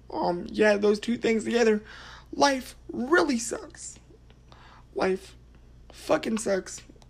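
Noticeable background noise sits behind a woman speaking at a very slow pace. Her intonation is lively, broken by long, frequent pauses. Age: 30s. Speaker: podcaster. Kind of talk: personal testimony monologue. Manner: halting with fillers.

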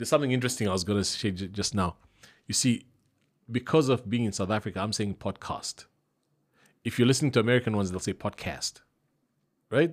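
On a very clean recording with a silent background, a man talks at a very fast pace with long, frequent pauses, a medium pitch and ordinary pitch variation. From Zambia. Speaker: voice-over artist. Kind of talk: casual chat.

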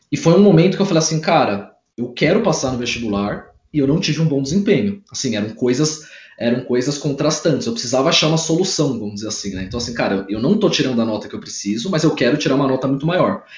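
Speaking at a very fast pace, a man with a fairly high pitch makes very wide pitch swings. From interior of São Paulo state, Brazil. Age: 20s. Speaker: civil engineer and study coach. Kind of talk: casual interview. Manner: animated.

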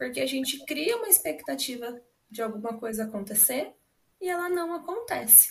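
Here is a woman with a high pitch. She talks at a moderate pace. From Brazil, Paraná (Londrina). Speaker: psychologist. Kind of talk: podcast interview.

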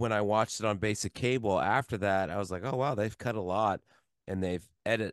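Against a quiet background, a man with an ordinary speaking voice talks at a moderate pace and a fairly low pitch, the sound dry and close with no echo. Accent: American. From US Midwest (Columbus, Ohio). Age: 40s. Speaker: film podcast co-host. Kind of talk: casual chat.

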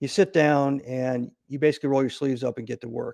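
A man with a normal speaking voice and an American accent, medium in pitch, fairly even in intonation and fairly quick in pace. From US Midwest, Nebraska. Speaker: retired Navy SEAL officer and CEO. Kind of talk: interview.

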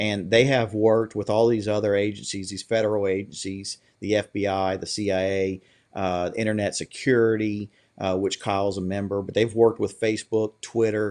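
Against a quiet background, a man with a Louisiana accent and fairly low pitch speaks at a moderate pace in a monotone, flat manner. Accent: rural Louisiana Southern American. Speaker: political candidate and grocery business owner. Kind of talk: interview.

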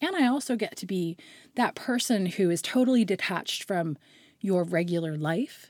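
A woman with a Nova Scotian accent, medium pitch and lively intonation at a moderate pace, on a very clean recording with a silent background. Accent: Nova Scotian Canadian English. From Nova Scotia, Canada. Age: 40s. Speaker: hairstylist. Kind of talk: casual chat.

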